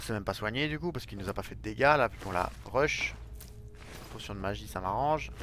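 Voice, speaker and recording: Talking at a very fast pace, a man still leaves long, frequent pauses. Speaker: gaming youtuber. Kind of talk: let's play commentary. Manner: casual, chatty.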